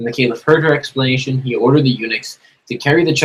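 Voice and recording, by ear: The background is quiet as someone reads aloud in a natural voice.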